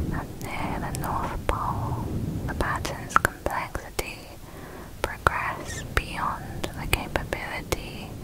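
A soft-spoken woman whispers in a breathy voice at a very slow pace, the sound dry with no echo, over loud background noise. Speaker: narrator. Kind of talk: soft-spoken ASMR storytelling. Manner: soft, breathy ASMR near-whisper. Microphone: studio mic.

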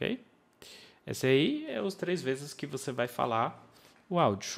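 A man speaks with an English accent. His pace is fairly slow. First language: English (speaking Portuguese). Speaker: English teacher. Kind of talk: online course lesson. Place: home room. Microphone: studio mic.

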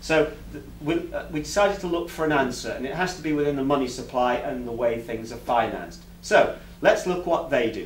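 Over light background noise and audible room echo, a man with an English accent speaks at a fairly quick pace. His pitch is fairly high, with ordinary pitch variation. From England. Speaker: alternative finance campaigner and presenter; presenter. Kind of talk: public talk to a meeting. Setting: meeting room with live audience. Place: meeting room. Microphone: camera far.

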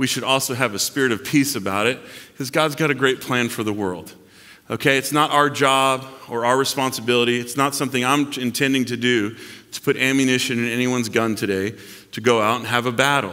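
With a bright, sharp tone and fairly even intonation, a man speaks at a fairly quick pace against a quiet background. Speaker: pastor. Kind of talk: sermon. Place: church.

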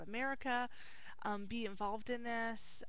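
A woman at a fairly slow pace, monotone and flat in intonation, with a dry sound and no echo. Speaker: video blogger replying to a viewer. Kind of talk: casual vlog chat. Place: office. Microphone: headset.

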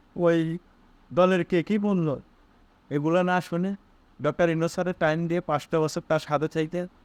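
In a dry, close sound with no echo, a man speaks with a high pitch and a monotone, flat intonation. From Bangladesh, Bogura. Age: young. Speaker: political commentator. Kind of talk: political monologue.

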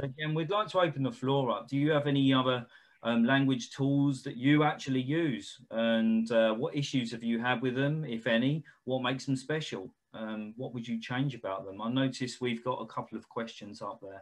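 Keeping a moderate pace, a man talks with ordinary pitch variation. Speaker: company representative hosting a webinar. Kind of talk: webinar presentation and moderated Q&A. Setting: video call. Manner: hesitant, many filler sounds. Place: home room. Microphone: video call.

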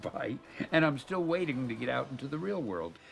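There is faint music in the background behind a man's voice. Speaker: interviewee. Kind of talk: interview answer. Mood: warm, amused. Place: home room.

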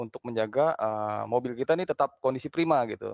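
Ordinary pitch variation marks this man's very fast pace. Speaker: automotive company manager. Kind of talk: interview. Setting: office, remote video call. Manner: halting.

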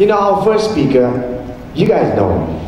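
This man's voice makes very wide pitch swings. There's audible room echo and light background noise. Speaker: event emcee. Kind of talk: event hosting. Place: hall. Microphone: handheld.

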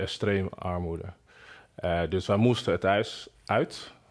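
In a Nigerian accent, a man speaks very slowly with a very deep, low pitch. The background is quiet. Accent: Nigerian-accented Dutch. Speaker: singer and producer. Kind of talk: interview testimony. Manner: halting, many hesitations. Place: home room. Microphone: lapel.

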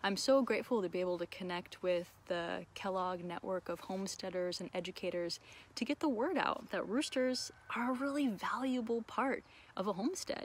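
Her intonation is lively as the woman speaks at a moderate pace, the sound dry with no echo. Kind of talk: casual educational vlog chat. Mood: warm and enthusiastic. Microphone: phone near.

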